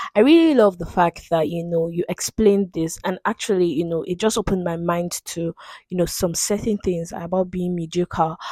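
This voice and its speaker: A woman speaks in a normal speaking voice at a fairly low pitch and a moderate pace, with hardly any pauses. Her intonation is fairly even, and the sound is dry and close with no echo. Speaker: podcast host. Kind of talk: casual conversation.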